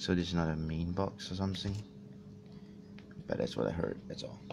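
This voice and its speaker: Soft-spoken, a man with a very deep, low pitch and ordinary pitch variation talks over noticeable background noise. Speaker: YouTuber doing a box opening. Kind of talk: casual talk to camera. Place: home room. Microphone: phone near.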